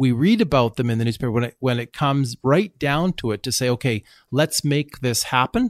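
A plain, everyday voice with a Canadian accent moves at a fairly quick pace with ordinary pitch variation. The recording is very clean with a silent background and a dry, close sound with no echo. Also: man, medium pitch for a man. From Canada. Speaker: company CEO. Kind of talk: interview.

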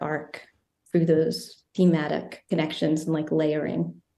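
With an American accent, a woman speaks at a moderate pace in a monotone, flat intonation and a fairly low pitch. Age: 30s. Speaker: filmmaker and writer. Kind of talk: interview.

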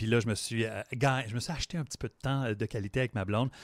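A man talks at a very fast pace and a medium pitch, keeping his intonation fairly even. The sound is dry and close with no echo, on a very clean recording with a silent background. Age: 40s. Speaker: sports podcast co-host. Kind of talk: casual chat; tutorial.

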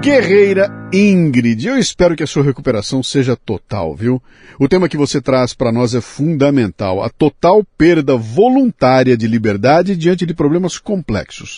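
In a dry, close recording with no echo, a man with a dark, mellow, somewhat breathy voice swings very widely in pitch. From Bauru, São Paulo state, Brazil. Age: 60s. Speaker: podcast host. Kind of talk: casual interview.

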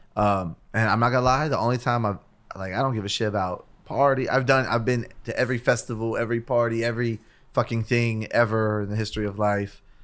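The talk runs at a very fast pace with fairly even intonation and an American accent. The recording is very clean, with a silent background. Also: man, medium pitch for a man. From US West Coast, East Los Angeles. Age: 30s. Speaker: rapper. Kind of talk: casual chat.

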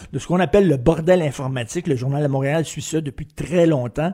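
Captured on a very clean recording with a silent background, a man speaks in a fairly high pitch with a dark, mellow tone and ordinary pitch variation. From Montreal (Verdun), Quebec. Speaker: opinion columnist. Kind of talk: commentary.

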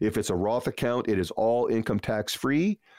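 An ordinary speaking voice from a man, medium pitch, ordinary pitch variation, moderate pace, quiet background. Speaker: financial advisor radio host. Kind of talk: radio financial advice show with a pitch to call in. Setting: studio. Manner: warm, upbeat, salesy.

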